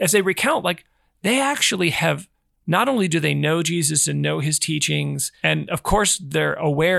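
Recorded very cleanly against a silent background, a man talks at a moderate pace with a dry, close sound and no echo. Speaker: podcast host. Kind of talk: casual interview chat. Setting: in-person studio recording.

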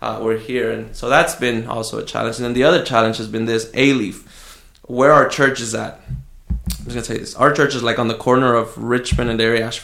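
An ordinary speaking voice from a man at medium pitch. He talks at a fairly quick pace with fairly even intonation. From Southwest Houston, Texas (moved from Mexico at nine). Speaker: pastor. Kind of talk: casual interview. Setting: studio, face to face.

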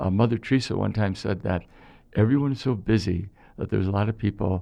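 The speaker has an American accent and a moderate pace. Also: man. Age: 60s. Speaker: priest, former mailman. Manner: jokey, humorous.

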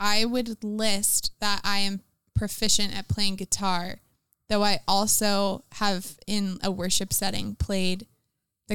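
A woman speaks very slowly in an American accent at medium pitch with monotone, flat intonation, in a very clean recording with a silent background and a dry, close sound with no echo. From Florida. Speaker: campus missionary. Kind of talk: casual interview.

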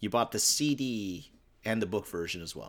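In an ordinary speaking voice, a man talks at a moderate pace, his fairly low pitch showing ordinary variation. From Newfoundland, Canada. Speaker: podcast co-host, music fan. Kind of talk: casual chat.

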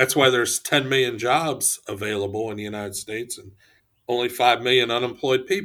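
A man's medium-pitched voice in a Midwestern American accent, bright and sharp in tone, at a fairly quick pace with ordinary pitch variation and big swings in loudness. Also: very clean recording, silent background. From Ohio. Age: 60s. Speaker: economic development executive. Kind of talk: interview.

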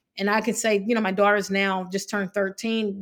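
A woman with an American accent talks at a very fast pace in a monotone, flat intonation and a medium pitch. The recording is very clean, with a silent background. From Evansville, Indiana (Indiana-Kentucky border). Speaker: financial consultant and business owner. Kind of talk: interview conversation.

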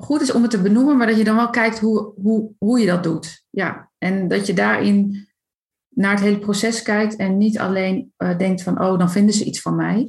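This woman's voice is somewhat breathy and pitched fairly high. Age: 30s. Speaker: coach for highly sensitive people. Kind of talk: casual interview.

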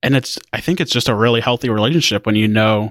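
A plain, everyday voice from a man at medium pitch and fairly quick pace, with a dry, close sound with no echo and a very clean recording, silent background. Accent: American. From Indiana. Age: 20s. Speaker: tech news editor. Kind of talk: casual interview.

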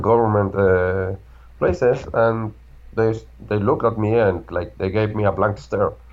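A man with a Spanish accent talks at a moderate pace. His voice is fairly low. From Argentina. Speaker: security researcher, tech executive. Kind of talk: interview.

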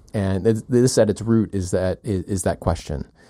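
A man's normal speaking voice, fairly low in pitch, at a moderate pace, on a very clean recording with a silent background. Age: 40s. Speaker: podcast co-host, former mathematician. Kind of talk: casual chat.

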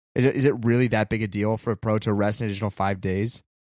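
Recorded very cleanly against a silent background with a dry, close sound and no echo, a man speaks in a normal speaking voice at a fairly low pitch with fairly even intonation. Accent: American. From California. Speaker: podcast co-host. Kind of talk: casual chat.

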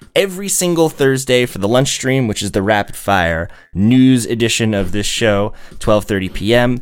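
Here is a man with a medium pitch and an ordinary speaking voice. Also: lively intonation, moderate pace. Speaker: local official and live stream host. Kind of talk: casual live-streamed talk show. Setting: live stream.

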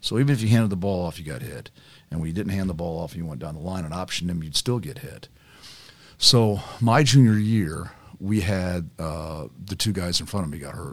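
With an American accent, a man with a very deep, low pitch talks at a fairly quick pace, his lively intonation paired with big swings in loudness. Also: very clean recording, silent background. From Carmel, Indiana, US Midwest. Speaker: former college football player, cancer survivor. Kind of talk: casual chat.

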